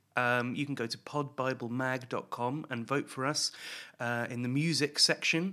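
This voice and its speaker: Bright and sharp in tone, this voice with a British accent moves at a moderate pace with ordinary pitch variation on a very clean recording with a silent background. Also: man. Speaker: podcast co-host. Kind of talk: casual chat. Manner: jokey, laughs often.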